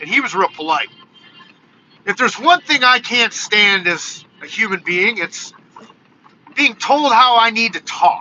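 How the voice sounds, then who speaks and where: A man with an American accent speaks loudly at extremely high pitch and a fairly slow pace. There are long, frequent pauses and noticeable background noise. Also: lively intonation. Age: 40s. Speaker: YouTube content creator. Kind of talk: live stream casual monologue.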